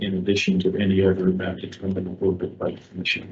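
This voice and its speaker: A soft-spoken man talks at a fairly quick pace in a very deep, low voice that is somewhat breathy. His intonation stays monotone and flat. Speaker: ethics commissioner. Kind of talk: formal motion at hearing. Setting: commission hearing room.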